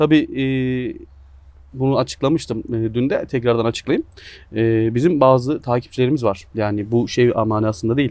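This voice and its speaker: Over a quiet background, a man speaks at a moderate pace with ordinary pitch variation, the sound dry with no echo. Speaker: sports channel interviewer. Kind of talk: casual interview and word game. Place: garden.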